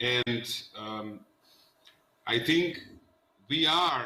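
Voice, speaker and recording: A man speaks at a medium pitch in a Macedonian accent. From North Macedonia. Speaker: politician. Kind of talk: panel discussion.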